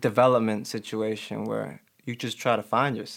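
Recorded very cleanly against a silent background, a man with an American accent and a normal speaking voice talks at a moderate pace in a medium pitch with fairly even intonation. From Chicago, Albany Park. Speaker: clothing brand founder. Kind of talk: casual chat.

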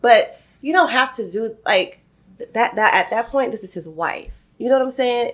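Music plays in the background as a woman talks. Her pitch is fairly high and her pace moderate. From Atlanta, Georgia, US South. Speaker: podcast co-host. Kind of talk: casual chat.

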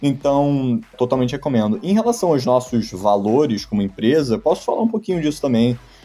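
Fairly quick speech from a man with hardly any pauses, a dark, mellow tone, medium pitch and very wide pitch swings. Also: very even loudness. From Brazil, Rio de Janeiro and Madrid. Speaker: tech startup founder. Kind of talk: interview.

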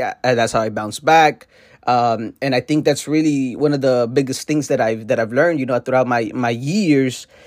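A man with an American accent, an ordinary speaking voice at medium pitch, ordinary pitch variation and a fairly quick pace, on a very clean recording with a silent background. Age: 20s. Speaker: entrepreneur podcast host. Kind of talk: solo podcast monologue.

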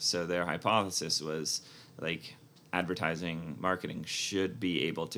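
With a very deep, low pitch and vocal fry, a man speaks at a moderate pace in a bright, sharp tone and fairly even intonation. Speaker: MBA alum, tech product director. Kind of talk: interview.

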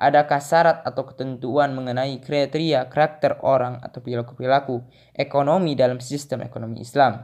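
A man's medium-pitched voice at a very fast pace, with hardly any pauses and fairly even intonation. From Indonesia, Garut (West Java). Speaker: university student. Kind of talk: reading homework answers aloud.

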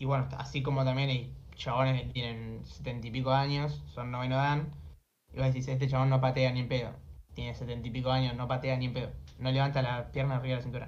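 A man at medium pitch speaks very fast in a somewhat breathy, monotone voice with flat intonation, with room echo clearly audible. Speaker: streamer and taekwondo competitor. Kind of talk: casual chat.

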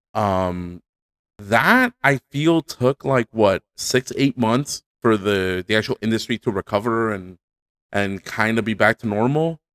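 A man with an ordinary speaking voice talks at a medium pitch and fairly slow pace, dry and close with no echo, in a very clean recording with a silent background. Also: ordinary pitch variation. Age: 30s. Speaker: podcast co-host. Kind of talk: casual chat.

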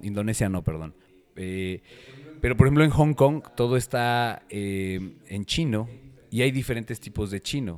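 With a central Mexican accent, a man at a medium pitch speaks at a moderate pace with lively intonation and big swings in loudness. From Mexico City. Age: 40s. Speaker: personal trainer. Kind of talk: casual chat.

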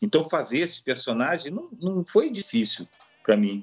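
This man's pitch swings very widely while he keeps a moderate pace. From Rio de Janeiro, Brazil. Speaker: opera singer. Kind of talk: casual interview.

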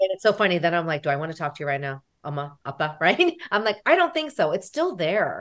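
A woman with an American accent, fairly low pitch, a fairly quick pace and a normal speaking voice. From United States. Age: 40s. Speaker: therapist. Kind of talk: interview.

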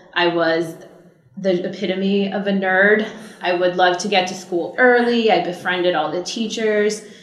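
A woman with an American accent speaks at a moderate pace and medium pitch, her intonation fairly even. The room echo is audible and background noise is noticeable. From US West Coast, Orange County, California. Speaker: entertainment attorney. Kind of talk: interview.

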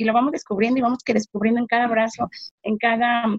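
With a Mexico City accent, a woman speaks in a fairly high pitch and fairly even intonation, in a dry, close sound with no echo. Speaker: bereaved mother. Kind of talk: testimony.

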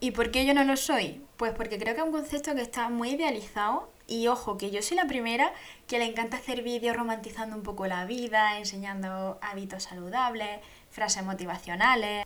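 Talking at a fairly quick pace, a woman with a plain, everyday voice has a fairly high pitch and ordinary pitch variation. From Andalusia, Spain (Jaén province). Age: 20s. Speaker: podcast host. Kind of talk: casual monologue.

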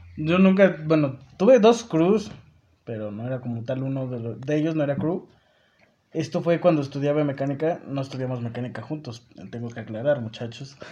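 A man with a fairly high pitch and a normal speaking voice talks at a fairly quick pace. His intonation is lively, with big swings in loudness. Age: 20s. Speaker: university student. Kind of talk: casual chat.

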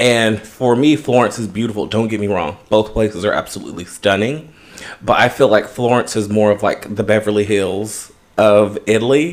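A man with an American accent speaks at a moderate pace in a plain, everyday voice, his fairly low pitch showing ordinary variation. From Los Angeles, US West Coast. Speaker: podcast co-host. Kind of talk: casual chat.

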